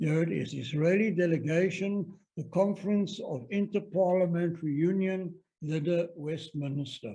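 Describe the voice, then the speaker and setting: This man speaks with a South African accent. His pitch is high, and his tone is dark and mellow. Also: ordinary pitch variation, moderate pace. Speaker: stamp collector presenter. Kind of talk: presentation lecture.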